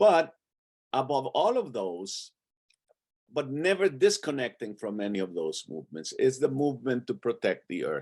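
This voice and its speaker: A man speaks at a moderate pace in a medium pitch, his voice showing vocal fry and broken by long, frequent pauses. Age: 80s+. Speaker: theologian and activist. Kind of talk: panel talk on video call. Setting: video call. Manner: halting, with many repeated words.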